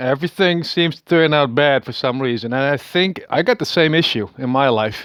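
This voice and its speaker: A man with a fairly high voice talks at a moderate pace. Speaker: vlogger. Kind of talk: casual monologue. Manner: halting, many fillers and repetitions.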